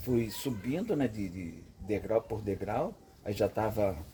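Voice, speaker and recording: Speaking at a fairly slow pace, a man uses lively intonation at a fairly low pitch, with vocal fry. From interior of São Paulo state, Brazil (Avaré). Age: 60s. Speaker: veteran car mechanic. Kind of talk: casual storytelling to camera. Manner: casual, with repeated filler 'entendeu'.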